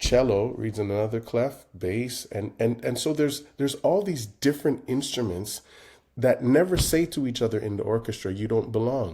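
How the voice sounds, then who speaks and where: A man with a Jamaican Canadian accent speaks at a medium pitch in a dark, mellow tone. His intonation is lively, and the recording is very clean with a silent background. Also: moderate pace. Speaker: composer and conductor. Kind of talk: interview. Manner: hesitant, many fillers.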